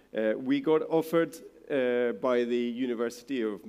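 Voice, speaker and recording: A man is talking in a dark, mellow tone. His intonation stays fairly even. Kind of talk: presentation talk. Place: hall.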